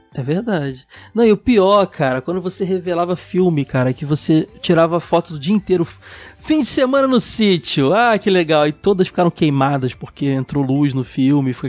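High-pitched male voice at a moderate pace, lively intonation, dry and close with no echo. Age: 30s. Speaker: podcast host. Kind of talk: casual chat.

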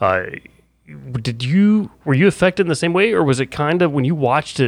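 A man's voice with very wide pitch swings. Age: 30s. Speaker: radio co-host. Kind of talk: interview.

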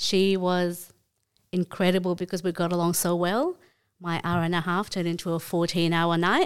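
A woman with an Australian accent speaks at a moderate pace in a flat, monotone delivery, her pitch fairly low, on a very clean recording with a silent background. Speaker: swingers club guest and mother. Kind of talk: casual interview chat.

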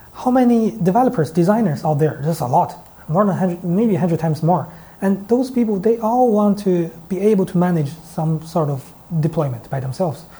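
A man with a Chinese accent, high-pitched and dark, mellow in tone, with lively intonation at a fairly quick pace. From China. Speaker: startup founder. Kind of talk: interview. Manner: hesitant, many fillers.

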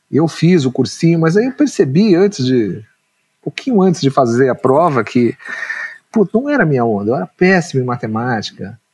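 In a dry, close sound with no echo, a somewhat breathy man talks at a moderate pace with very wide pitch swings and long, frequent pauses. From São Paulo, Brazil (Ipiranga). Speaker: screenwriter. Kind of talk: interview conversation. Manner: hesitant, repeats words.

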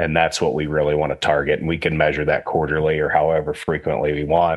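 Against a quiet background, a man speaks in a very deep, low pitch. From Western Pennsylvania. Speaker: swine industry technical services manager. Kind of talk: casual interview.

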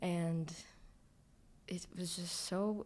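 A woman's fairly low voice in a Toronto accent, with ordinary pitch variation. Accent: Toronto Canadian English. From Toronto (Scarborough), Canada. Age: 20s. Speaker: recent graduate, writer and dancer. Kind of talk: casual chat.

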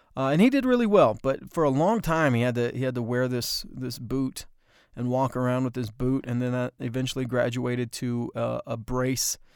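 A man with an American accent speaks at medium pitch and a moderate pace. His intonation is fairly even, and the recording is very clean with a silent background. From US West, horse racing circuit. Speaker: podcast host, filmmaker and former TV anchor. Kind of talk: casual storytelling monologue. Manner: halting, many fillers.

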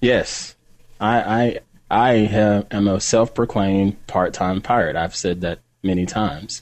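A man speaks at a fairly low pitch with fairly even intonation. It is an unremarkable speaking voice. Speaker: tech podcast co-host. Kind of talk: casual banter. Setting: video call.

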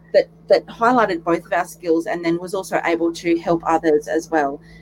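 A woman talks fairly quickly with lively intonation, noticeable background noise behind her. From Warwick, southeast Queensland. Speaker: guest, teacher and business owner. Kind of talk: casual interview.

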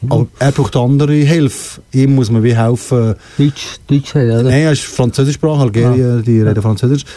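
A man's dark, mellow voice at a fairly quick pace. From Switzerland, Fribourg (bilingual region). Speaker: singer and music academy founder. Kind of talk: interview. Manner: halting.

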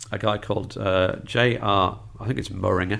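A man with a fairly low pitch and vocal fry talks at a moderate pace with ordinary pitch variation. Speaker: film critic. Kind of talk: casual chat.

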